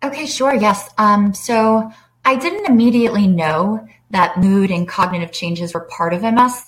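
With lively intonation, a woman speaks at a moderate pace in a somewhat breathy voice. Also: medium pitch for a woman. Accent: American. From US South. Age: 30s. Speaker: person living with MS. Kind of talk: interview.

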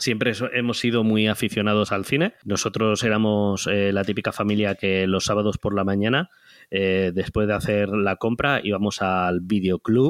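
An ordinary speaking voice from a man, fairly low in pitch, at a moderate pace with hardly any pauses, fairly even intonation and very even loudness, in a dry, close sound with no echo. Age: 30s. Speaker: web entrepreneur. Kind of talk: interview.

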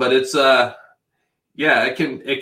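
Bright and sharp in tone, a man speaks at a moderate pace in a very clean recording with a silent background. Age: 50s. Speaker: webcam model. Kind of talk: casual interview chat.

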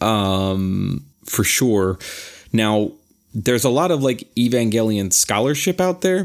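Very slowly and at a very even loudness, a man talks in a very clean recording with a silent background. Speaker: podcast co-host. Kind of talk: casual chat. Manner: halting.

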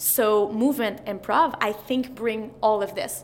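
With a Quebec accent, a woman talks at a fairly high pitch with fairly even intonation. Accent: Québécois French-accented English. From Quebec, Montreal. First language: French. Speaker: mental performance coach. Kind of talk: interview.

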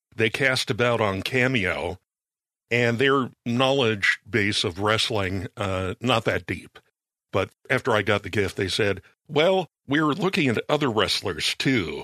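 An ordinary speaking voice from a man, medium in pitch, with lively intonation, very even loudness, and a fairly slow pace, in a dry, close sound with no echo. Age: 50s. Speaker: podcast producer. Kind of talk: casual chat.

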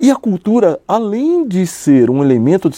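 Dry and close with no echo, a man's dark, mellow voice moves through very wide pitch swings. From São Paulo, Brazil (south zone). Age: 50s. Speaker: businessman, cultural incentive projects. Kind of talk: interview. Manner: halting, many repetitions.

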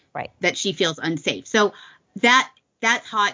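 Hers is an unremarkable speaking voice, medium in pitch, with ordinary pitch variation at a fairly slow pace. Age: 50s. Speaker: podcast co-host. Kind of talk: casual political talk show chat.

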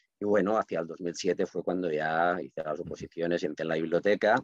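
In a Catalan accent, a man with a very deep, low voice talks at a fairly quick pace with ordinary pitch variation, the sound dry and close with no echo. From Catalonia, Reus. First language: Catalan (speaking Spanish). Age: 50s. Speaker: writer and librarian. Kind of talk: podcast interview.

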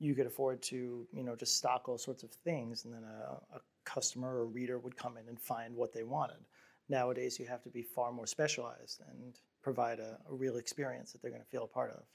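A man with a plain, everyday voice at a medium pitch speaks fairly quickly with fairly even intonation and big swings in loudness. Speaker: founder of a fashion brand. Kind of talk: casual chat over drinks.

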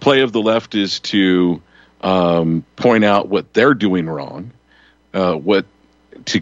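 In a Western US accent, a man speaks at a very slow pace. His pitch is very deep and low, with ordinary pitch variation. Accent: Western American. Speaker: radio host. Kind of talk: talk radio roundtable.

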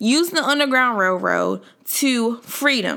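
An animated, bright, sharp tone at a fairly slow pace, with ordinary pitch variation. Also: woman. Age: 20s. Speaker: podcast host. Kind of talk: casual faith-based monologue.

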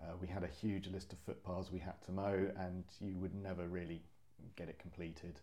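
Very deep, low-pitched man's voice, dark and mellow in tone, at a moderate pace with monotone, flat intonation. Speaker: senior access ranger. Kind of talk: casual interview. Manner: hesitant, filled with ums.

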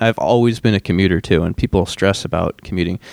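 A man with an American accent talks at a fairly quick pace with ordinary pitch variation, in a very clean recording with a silent background and a dry, close sound with no echo. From Michigan. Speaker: assistant chief pilot. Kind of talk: interview conversation. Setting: live on a college campus.

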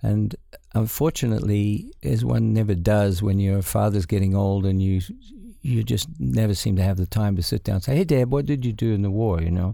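With a dark, mellow tone and fairly low pitch, a man speaks at a fairly quick pace, lively in intonation and very even in loudness. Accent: New Zealand. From New Zealand. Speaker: cinematographer. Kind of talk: interview. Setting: studio.

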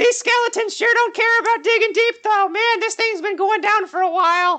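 A man puts on a character voice at an extremely high pitch. It comes out squeaky. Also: moderate pace. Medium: actual play. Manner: stammering, repeats words nervously.

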